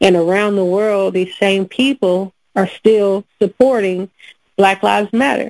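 A woman's normal speaking voice at medium pitch, fairly slow and fairly even in intonation, with a dry, close sound and no echo. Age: 30s. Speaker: podcast host. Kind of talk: casual chat.

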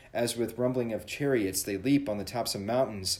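This man has an unremarkable speaking voice, fairly low in pitch. He talks at a fairly quick pace with ordinary pitch variation. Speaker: church podcast host leading devotion. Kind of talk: devotional with prayer and scripture reading; fervent prayer, earnest and reverent. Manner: formal, warm.

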